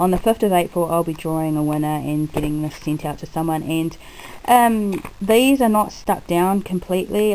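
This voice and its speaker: A woman with a fairly low voice and ordinary pitch variation speaks over noticeable background noise. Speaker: crafter and video blogger. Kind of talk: casual chat. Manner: chatty, with frequent ums.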